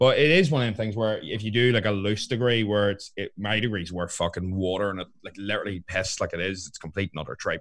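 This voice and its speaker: With a Northern Irish accent, a man speaks at a very fast pace and a fairly low pitch with ordinary pitch variation on a very clean recording with a silent background. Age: 20s. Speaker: fitness coach and podcast co-host. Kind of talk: casual chat.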